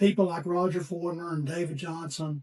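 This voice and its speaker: This man talks at a moderate pace with a Southern US accent, his high voice dark and mellow but flat and monotone. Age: 60s. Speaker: musician. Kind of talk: casual chat. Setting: studio. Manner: halting.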